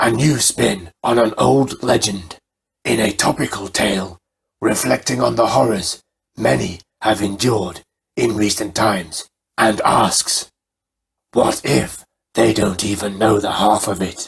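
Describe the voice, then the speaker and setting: Using a put-on character voice, a man speaks at a fairly low pitch and a fairly slow pace with long, frequent pauses. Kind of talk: horror host showmanship. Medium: read story. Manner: theatrical, relishing.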